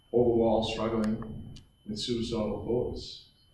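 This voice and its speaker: A fairly low male voice in audible room echo. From Australia, New South Wales. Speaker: former rugby league player, mental health speaker. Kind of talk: motivational talk to students. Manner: halting, repeats words.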